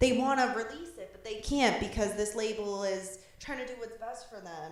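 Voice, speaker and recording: A woman with a Boston accent, fairly high in pitch with ordinary pitch variation, amid audible room echo. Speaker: podcast co-host. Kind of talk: casual chat. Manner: casual, filler-heavy.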